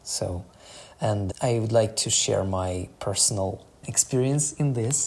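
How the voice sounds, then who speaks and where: Speaking at a very slow pace with a non-native accent, a man keeps a medium pitch and ordinary pitch variation. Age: 20s. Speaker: startup founder. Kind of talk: podcast monologue. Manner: slightly halting.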